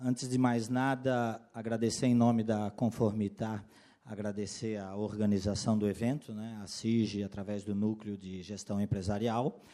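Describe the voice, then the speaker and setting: A man's fairly low, dark, mellow voice, fairly slow, with ordinary pitch variation and big swings in loudness. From Florianópolis, Santa Catarina, southern Brazil. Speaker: compliance consultant and lawyer, workshop speaker. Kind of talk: lecture.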